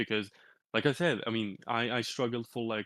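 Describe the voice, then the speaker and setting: A Turkish accent at a moderate pace, in a dry, close sound with no echo and a quiet background. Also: man. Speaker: crypto community leader. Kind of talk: interview. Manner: halting, many repetitions and fillers.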